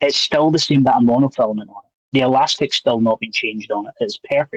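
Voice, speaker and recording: A man talks at a very fast pace with big swings in loudness. The sound is dry and close, without echo. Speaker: magician. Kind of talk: casual chat.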